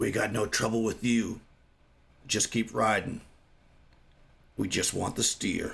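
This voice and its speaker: In a gruff, put-on character voice, the speaker talks at a fairly slow pace with monotone, flat intonation, very even loudness, and long, frequent pauses. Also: man, medium pitch for a man. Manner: threatening, warning.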